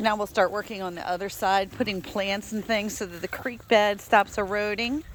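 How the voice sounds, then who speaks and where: Over noticeable background noise, a woman talks at a moderate pace with a fairly high pitch and a relaxed tone. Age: 60s. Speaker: dog rescue ranch owner. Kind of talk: casual walking video tour. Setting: outdoors. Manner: relaxed, chatty.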